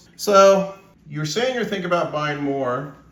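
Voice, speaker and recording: A man speaks fairly slowly while background noise is noticeable behind him. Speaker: precious metals YouTuber and stacker. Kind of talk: casual talk to camera, interview host.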